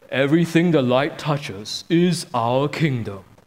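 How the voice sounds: A man puts on a booming character voice at a fairly high pitch. He talks at a moderate pace.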